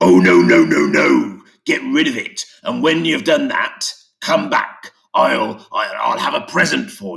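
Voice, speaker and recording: Using a put-on character voice, a man speaks at a fairly slow pace with big swings in loudness. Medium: read story. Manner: stammering.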